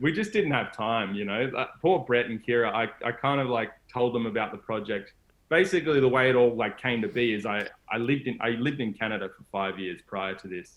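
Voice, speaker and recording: In an Australian accent, a man talks at a fairly quick pace with a medium pitch and ordinary pitch variation. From Australia, Gold Coast. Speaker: solar van traveler, adventurer. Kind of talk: casual interview chat.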